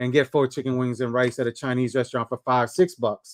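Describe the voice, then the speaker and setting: Speaking at a very fast pace, a man with a medium-pitched voice comes through dry and close, with no echo. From New York / New Jersey area, Puerto Rican descent. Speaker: livestream host. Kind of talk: casual chat. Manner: fast talker.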